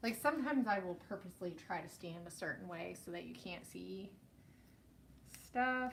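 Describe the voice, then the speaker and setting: With an American accent and vocal fry, a woman speaks at medium pitch and a moderate pace in an animated tone, her intonation lively, her loudness swinging widely, and her pauses long and frequent. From US East Coast. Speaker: scrapbooking YouTuber. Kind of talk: casual live-stream chat while crafting. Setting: live stream at home craft desk. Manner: chatty, animated.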